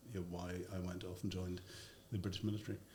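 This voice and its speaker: A somewhat breathy man's voice with a Northern Irish accent. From Northern Ireland. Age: 60s. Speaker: former army intelligence officer and media commentator. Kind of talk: podcast interview. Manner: hesitant, many fillers.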